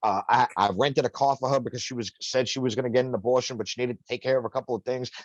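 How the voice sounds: A man talks at a very fast pace at a medium pitch. His intonation is fairly even, and the sound is dry and close with no echo.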